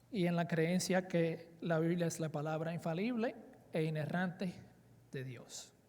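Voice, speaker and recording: A man talks at a fairly slow pace. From Dominican Republic, raised in South Florida (Miami). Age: 40s. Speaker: preacher. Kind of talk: conference sermon. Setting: conference with audience. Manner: hesitant with fillers.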